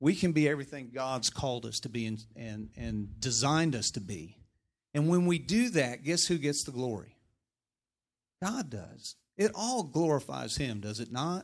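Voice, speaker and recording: A man with an American accent at medium pitch and moderate pace, his intonation lively, in a very clean recording with a silent background. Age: middle-aged. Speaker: politician. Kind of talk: sermon. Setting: church. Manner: animated.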